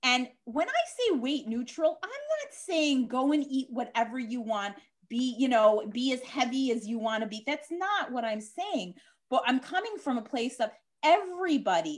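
A woman with an American accent and high pitch speaks at a moderate pace with lively intonation. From Chicago, US Midwest. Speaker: dietitian and diabetes educator. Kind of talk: interview, explaining expertise.

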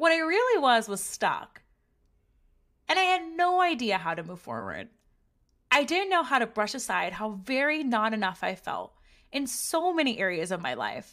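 A loud, fairly high woman's voice with very wide pitch swings at a moderate pace, long, frequent pauses, and a very clean recording with a silent background. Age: 30s. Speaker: podcast host. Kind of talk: scripted narration.

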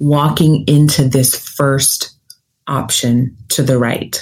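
Calm in tone, a woman with an American accent speaks at a very slow pace. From US South, Nashville, Tennessee. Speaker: career coach and podcast host. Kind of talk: guided visualization, second-person imagery leading the listener down a forked path. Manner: deliberately slowed, calm pacing with reflective pauses during the visualization.

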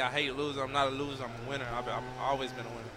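Very fast speech from a man at medium pitch with an American accent, audible room echo and noticeable background noise. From Texas. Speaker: college football player. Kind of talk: post-game interview.

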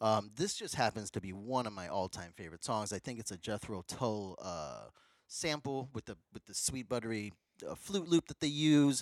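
This man has a plain, everyday voice with ordinary pitch variation and a fairly quick pace. The recording is very clean with a silent background, and the sound is dry and close with no echo. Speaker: podcast co-host. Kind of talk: casual chat. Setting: in-person studio recording.

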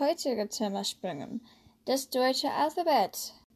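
High-pitched and lively in her intonation, a woman speaks with an American accent. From USA. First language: English (speaking German). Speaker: language learning podcaster. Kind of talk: tutorial.

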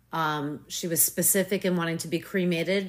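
This woman has an unremarkable speaking voice, fairly low in pitch with fairly even intonation, at a moderate pace in a very clean recording with a silent background. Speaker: author, mother. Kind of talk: casual interview.

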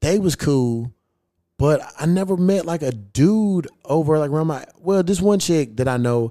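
Lively intonation from a man with an American accent and a dark, mellow tone, on a very clean recording against a silent background. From Kentucky, US. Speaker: podcast host. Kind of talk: casual chat. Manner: animated.

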